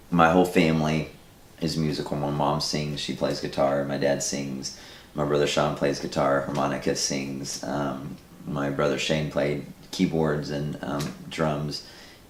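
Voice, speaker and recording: A man talks at a fairly slow pace in a very deep, low voice with monotone, flat intonation. There is audible room echo and noticeable background noise. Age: 40s. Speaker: filmmaker. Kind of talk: interview.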